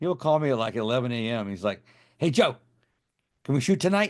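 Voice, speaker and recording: A man talks at a very fast pace, with the background quiet. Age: 50s. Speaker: special effects artist and film director. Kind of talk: interview. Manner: halting, repetitive.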